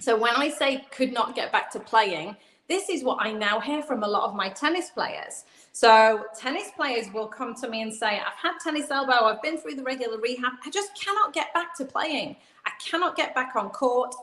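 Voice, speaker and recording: A woman's high voice with an English accent and very wide pitch swings, over noticeable background noise. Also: moderate pace. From England. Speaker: physical therapist. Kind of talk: video call interview. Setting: live video stream.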